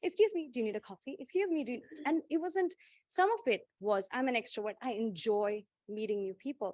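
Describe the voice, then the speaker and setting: With a strong Indian accent, the speaker sounds animated, moving at a fairly quick pace. Very wide pitch swings come through a dry, close sound with no echo. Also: woman, high pitch for a woman. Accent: thick Indian. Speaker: panelist, corporate professional. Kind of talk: panel discussion.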